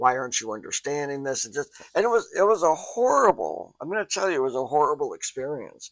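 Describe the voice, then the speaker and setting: This man's fairly high voice carries lively intonation, recorded dry and close with no echo on a very clean track with a silent background. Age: 60s. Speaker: psychology instructor. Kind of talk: lecture. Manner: casual, halting with fillers.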